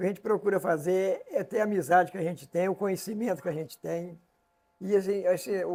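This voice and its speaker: A man speaks at a fairly quick pace. His voice is high in pitch. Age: 70s. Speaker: interview show host. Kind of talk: casual interview conversation.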